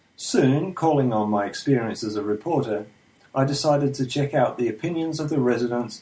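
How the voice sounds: The text is read in a natural reading voice.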